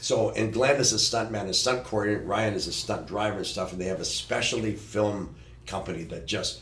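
Noticeable background noise sits under a man's fairly low voice. He talks at a fairly quick pace with ordinary pitch variation. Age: 60s. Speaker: stunt coordinator and producer. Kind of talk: casual chat.

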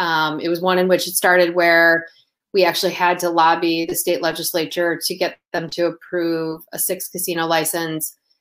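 With an American accent, a woman speaks in a fairly low pitch and a monotone, flat intonation. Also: very clean recording, silent background. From US Midwest, Toledo Ohio. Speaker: sports betting industry advisor. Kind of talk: interview. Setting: livestream.

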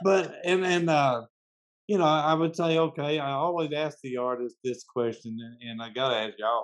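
A man at fairly high pitch, moderate pace and ordinary pitch variation. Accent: Southern US. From US South, Memphis, Tennessee. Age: 60s. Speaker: podcast host interviewing musicians. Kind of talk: casual interview. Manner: halting, many fillers and restarts.

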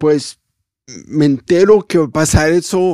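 A man speaks at a very slow pace in a fairly high pitch. His tone is dark and mellow. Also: dry, close sound with no echo. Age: 40s. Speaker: worship singer. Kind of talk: testimony.

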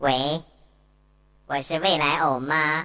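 Here a man does a put-on character voice at a fairly high pitch. His intonation stays monotone and flat.

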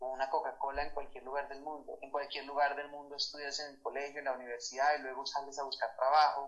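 A man talks at a very fast pace, his fairly high voice carrying fairly even intonation. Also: big swings in loudness. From Colombia, Bogotá. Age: 30s. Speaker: musician and sculptor. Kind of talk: interview.

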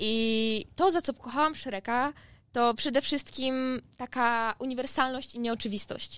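The recording is very clean, with a silent background. A woman with a high voice talks at a fairly slow pace with ordinary pitch variation. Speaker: university student. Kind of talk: class presentation.

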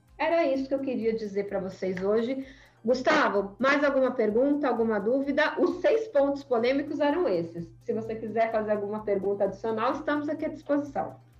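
A woman speaks with a high pitch and lively intonation at a fairly quick pace. She hardly pauses, and audible room echo surrounds her voice. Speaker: data privacy lawyer and association founder. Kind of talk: podcast interview. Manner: animated.

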